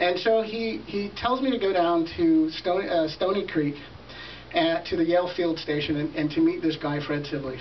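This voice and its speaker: A high-pitched man at a moderate pace with ordinary pitch variation, amid audible room echo and noticeable background noise. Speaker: event host. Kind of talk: storytelling speech. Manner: soft-spoken; halting.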